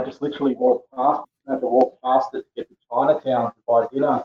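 Talking at a fairly quick pace, a man uses a medium pitch and fairly even intonation. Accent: Australian. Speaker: poet. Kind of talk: casual interview. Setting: remote call.

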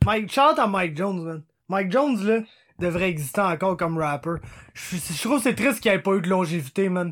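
In a very clean recording with a silent background, a man speaks in a high pitch. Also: lively intonation, fairly quick pace. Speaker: sports podcast co-host. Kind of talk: casual chat.

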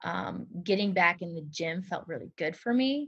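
A woman with an American accent speaks at a fairly low pitch with vocal fry. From US Midwest, Hastings, Nebraska. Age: 30s. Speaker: fitness trainer and former dancer. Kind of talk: casual interview chat.

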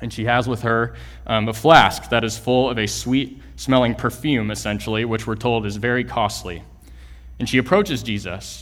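Over music in the background and audible room echo, a man with an American accent speaks at a moderate pace with a medium pitch and ordinary pitch variation. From Texas, Houston area. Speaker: church planter, guest preacher. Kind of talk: sermon. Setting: church.

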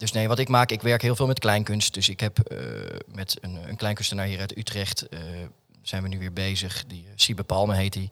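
A man's very deep, low voice with a bright, sharp tone and fairly even intonation, on a very clean recording with a silent background. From Netherlands, Alphen aan de Rijn (South Holland). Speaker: artist and theatre maker. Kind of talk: casual interview chat. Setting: studio in an office building.

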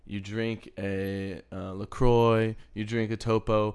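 A man with an American accent talks at a fairly low pitch in a plain, everyday voice. His intonation is fairly even, and the background is quiet. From Texas. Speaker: podcast co-host. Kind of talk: casual chat.

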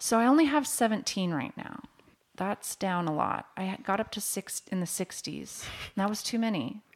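An ordinary speaking voice with an American accent and lively intonation, at a moderate pace. The recording is very clean, with a silent background. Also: woman, medium pitch for a woman. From Washington State, near Seattle. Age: 40s. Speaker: mortgage loan officer. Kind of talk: casual interview.

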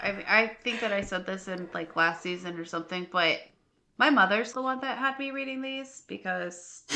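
Here is an unremarkable speaking voice. The pace is fairly quick and the intonation lively. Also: woman. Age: 30s. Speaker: podcast co-host. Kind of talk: casual chat.

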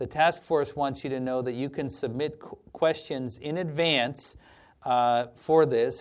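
Medium-pitched male speech at a fairly slow pace with fairly even intonation, in a very clean recording with a silent background. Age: 40s. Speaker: president of an advocacy organization for the blind. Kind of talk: monthly organizational address. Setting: live virtual broadcast.

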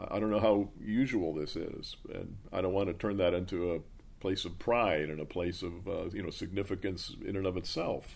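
At a moderate pace, a man talks in a very deep, low pitch with fairly even intonation. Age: 60s. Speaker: pastor. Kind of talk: interview answers.

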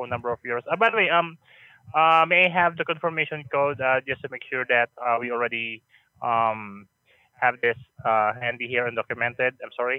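Using a plain, everyday voice, a man talks at a fairly quick pace, his medium pitch showing ordinary variation. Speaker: hotel staff on phone. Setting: phone call.

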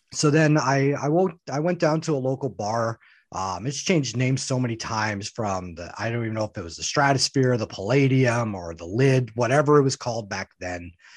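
Against a quiet background, a man with an ordinary speaking voice talks at a fairly quick pace and medium pitch, with lively intonation and hardly any pauses. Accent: Canadian. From Canada. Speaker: professional wrestler. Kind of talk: podcast interview.

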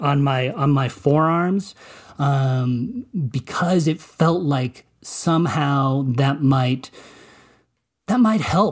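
With an American accent, a man speaks at a very slow pace with long, frequent pauses in a fairly high, somewhat breathy voice. His pitch varies in an ordinary way, his loudness stays very even, and the recording is very clean with a silent background. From Colorado, US. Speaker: movie critic and journalist. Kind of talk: interview testimony. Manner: halting, many repetitions.

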